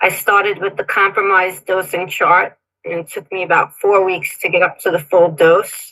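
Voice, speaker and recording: A woman speaks at a moderate pace and medium pitch, her bright, sharp tone held in a flat monotone. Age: 60s. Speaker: caller giving health testimony. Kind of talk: testimony. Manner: partly read from notes.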